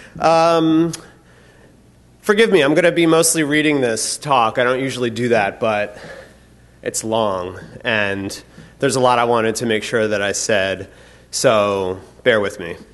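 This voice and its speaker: At a fairly slow pace, a man speaks with lively intonation and long, frequent pauses amid audible room echo. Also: medium pitch for a man. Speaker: conference keynote speaker. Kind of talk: conference keynote talk, partly read from script. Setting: stage with audience. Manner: loud.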